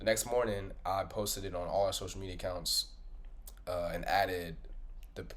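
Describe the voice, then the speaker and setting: A man's voice with audible room echo. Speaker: podcast host. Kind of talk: casual monologue recap. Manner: animated, conversational.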